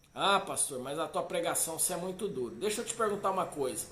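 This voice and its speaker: With lively intonation, a man talks in a room with audible echo. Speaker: pastor. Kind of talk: sermon. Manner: animated.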